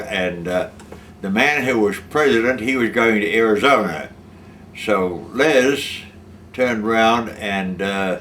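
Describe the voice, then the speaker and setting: Audible room echo and noticeable background noise surround the recording. A man speaks with ordinary pitch variation. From Australia. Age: 80s+. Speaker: war veteran. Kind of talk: testimony. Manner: halting.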